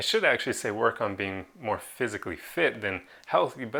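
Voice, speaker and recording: Bright and sharp in tone, a man speaks at a very fast pace with lively intonation. The recording is very clean with a silent background. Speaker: self-improvement video creator. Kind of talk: motivational talk to camera. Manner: casual, conversational.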